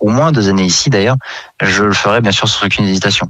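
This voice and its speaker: Delivered very fast, the speech has pitch that varies in an ordinary way. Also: man. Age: 20s. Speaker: gas technician apprentice. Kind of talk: radio interview.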